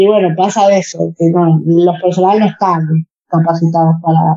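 With a Rioplatense accent, a woman speaks in a fairly low pitch and a dark, mellow tone, her intonation monotone and flat and her loudness very even. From Argentina. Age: 30s. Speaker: para-badminton athlete. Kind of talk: interview. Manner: halting, many fillers and repetitions.

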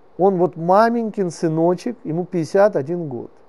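A man's dark, mellow voice, pitched high, with ordinary pitch variation. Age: 50s. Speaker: religious teacher. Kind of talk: lecture. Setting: classroom with live audience. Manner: animated.

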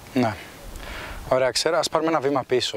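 This man's voice comes with noticeable background noise. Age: 20s. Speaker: podcast host. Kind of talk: interview.

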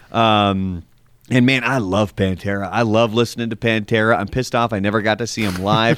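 Here a man talks at a fairly quick pace and a fairly low pitch, with fairly even intonation and an unremarkable speaking voice. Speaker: podcast co-host and musician. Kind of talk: casual chat. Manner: sighing, opinionated, conversational.

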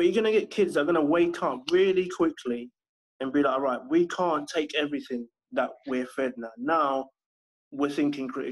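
A man talks at a moderate pace with a London accent. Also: fairly high pitch for a man, ordinary pitch variation. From southwest London. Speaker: homeschooling parent and education consultant. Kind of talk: casual interview.

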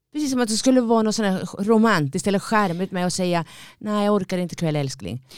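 A woman's medium-pitched voice at a very fast pace, lively in intonation, recorded very cleanly against silence. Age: 50s. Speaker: podcast co-host. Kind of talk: casual chat. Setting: studio.

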